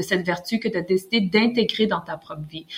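A woman's plain, everyday voice, fairly quick in pace, with ordinary pitch variation. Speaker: author. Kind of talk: interview.

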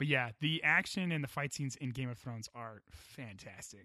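With an American accent, a man speaks at a fairly quick pace in a bright, sharp tone and a fairly high pitch. The recording is very clean with a silent background and a dry, close sound with no echo. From United States. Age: 30s. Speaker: podcast host. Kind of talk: casual panel chat.

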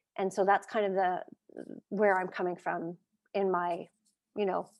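A woman with a normal speaking voice, medium pitch and fairly even intonation, at a moderate pace against a quiet background. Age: 50s. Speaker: martial arts teacher and coach. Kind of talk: casual interview chat.

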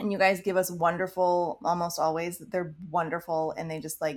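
At a moderate pace, a woman speaks in a plain, everyday voice with a fairly low pitch. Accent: American. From Maryland, US. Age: 30s. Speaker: podcast co-host, mother. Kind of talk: casual chat.

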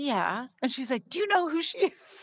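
With a Canadian accent, a woman talks at a very fast pace with lively intonation on a very clean recording with a silent background. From Canada, Saskatchewan. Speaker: entrepreneur. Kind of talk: interview.

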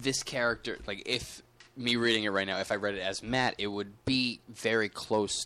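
A natural reading voice is what comes through here.

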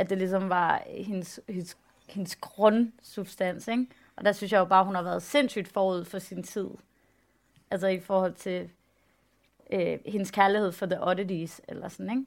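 A woman uses a normal speaking voice at a medium pitch, with fairly even intonation and a fairly slow pace. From Denmark, West Jutland. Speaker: photographer and artist. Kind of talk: public talk on stage.

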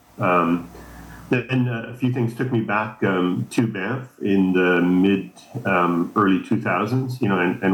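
A man speaks with a Canadian Prairies accent. His pitch is fairly low, with ordinary variation. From Canada, Saskatchewan. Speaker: ski instructor, association co-founder. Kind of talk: interview.

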